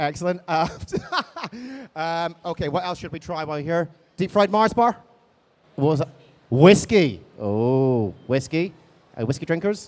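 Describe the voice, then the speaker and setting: Man with an Edinburgh accent, fairly high pitch, lively intonation and long, frequent pauses. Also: moderate pace. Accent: Scottish (Edinburgh). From Scotland, Edinburgh. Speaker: convention panel moderator. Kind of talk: live panel interview. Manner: animated, halting with many fillers.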